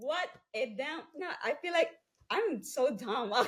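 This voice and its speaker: A woman with a Filipino accent speaks in a high pitch with very wide pitch swings. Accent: Filipino-accented English, non-fluent. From Philippines, Cebu island. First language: Cebuano/Filipino. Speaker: entrepreneur. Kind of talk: interview testimony.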